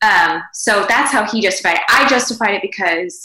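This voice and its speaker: The woman uses a normal speaking voice at a medium pitch. Her pace is moderate and her pitch variation ordinary. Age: 40s. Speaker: podcast co-host, mother. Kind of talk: casual chat. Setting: video call from home.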